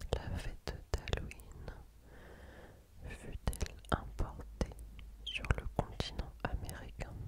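A woman whispering at a very slow pace, with long, frequent pauses. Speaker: ASMR creator. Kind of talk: ASMR whispered quiz. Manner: whispered. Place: home room. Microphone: studio mic.

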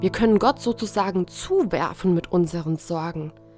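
Music can be heard behind the speaker. She is a woman. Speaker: Protestant pastor. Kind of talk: church devotional talk.

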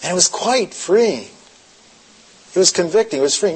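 A high-pitched man talks while noticeable background noise goes on. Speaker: pastor. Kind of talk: sermon. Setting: stage with audience.

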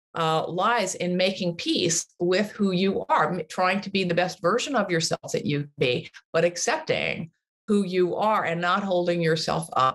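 A woman with an American accent talks at a fairly slow pace and fairly low pitch against a quiet background. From US. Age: 60s. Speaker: author and activist; podcast guest. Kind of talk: interview conversation. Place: home room. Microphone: video call.

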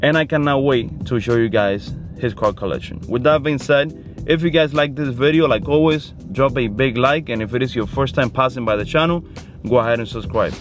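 Over clear music in the background, a man speaks at a moderate pace with ordinary pitch variation, the sound dry with no echo. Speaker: car channel host. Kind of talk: casual vlog chat. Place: car. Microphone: phone near.

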